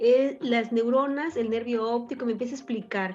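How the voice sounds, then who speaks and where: A woman's fairly high voice at a fairly slow pace, with music in the background. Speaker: radio announcer. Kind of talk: radio talk show discussion.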